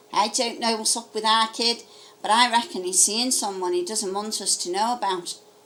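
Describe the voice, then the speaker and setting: A woman puts on a character voice in a Liverpool accent, fairly high in pitch. Her pace is moderate and her pitch variation ordinary. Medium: read story.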